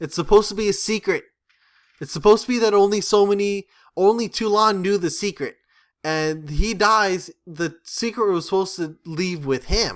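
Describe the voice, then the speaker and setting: A man's high voice with ordinary pitch variation on a very clean recording with a silent background. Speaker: movie review vlogger. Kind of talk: casual video commentary. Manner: halting, self-correcting; casual, filler-heavy.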